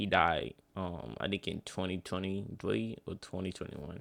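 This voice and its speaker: The voice is quiet and shows vocal fry. It moves at a moderate pace. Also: man. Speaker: streamer reacting to a video. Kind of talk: reaction commentary. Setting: at home at night. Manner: quiet, talking low.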